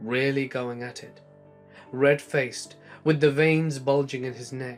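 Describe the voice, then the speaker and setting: Over music in the background, a man speaks with flat, monotone intonation and big swings in loudness. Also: medium pitch for a man, fairly slow pace. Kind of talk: horror story narration.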